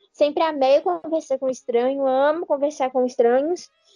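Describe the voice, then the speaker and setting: A woman with a high pitch speaks in a dark, mellow tone. Her intonation is fairly even and her pace is moderate. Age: 20s. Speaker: podcast co-host, writer and content creator. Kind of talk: casual chat.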